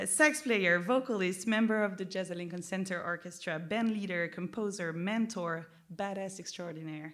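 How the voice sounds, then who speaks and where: In a French accent, a woman talks at a moderate pace with hardly any pauses, a medium pitch and ordinary pitch variation, and audible room echo surrounds her. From France. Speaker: interviewer, record label head. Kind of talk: public onstage interview. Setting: stage with audience. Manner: casual, hesitant with fillers.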